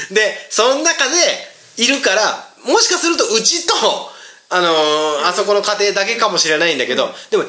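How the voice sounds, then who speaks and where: Amid noticeable background noise and audible room echo, a man with an extremely high pitch uses a raised, projected voice, his animated tone marked by very wide pitch swings. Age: 40s. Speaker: podcast host and band guitarist. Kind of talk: casual chat.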